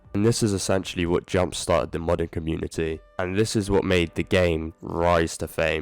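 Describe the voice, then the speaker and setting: Music plays behind a man's voice. He talks at a moderate pace with fairly even intonation. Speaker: gaming YouTuber. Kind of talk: video essay commentary. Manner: casual.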